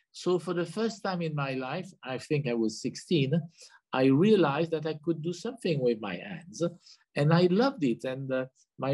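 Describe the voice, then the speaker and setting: With a French accent, the speaker moves at a fairly slow pace and uses lively intonation. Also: man. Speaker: hotelier being interviewed.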